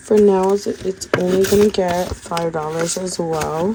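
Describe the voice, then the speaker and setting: A woman speaks with fairly even intonation at a medium pitch as noticeable background noise carries on. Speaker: budgeting content creator. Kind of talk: casual tutorial.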